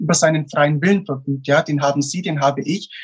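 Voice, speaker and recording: The pace here is fairly quick, the intonation fairly even. It is an unremarkable speaking voice. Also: man. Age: 20s. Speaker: motivational speaker. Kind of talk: interview.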